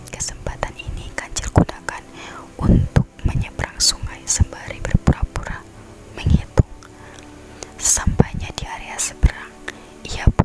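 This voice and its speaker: A whisper moves along fairly slowly, with background noise clearly audible behind it. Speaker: ASMR creator. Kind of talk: fairy tale reading. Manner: whispered.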